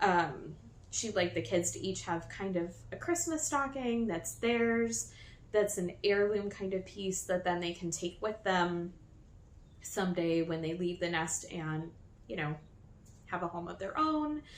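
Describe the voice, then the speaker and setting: With a normal speaking voice, a woman speaks at a medium pitch with lively intonation. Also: fairly slow pace. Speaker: knitting podcaster. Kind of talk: casual podcast chat. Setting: new filming location.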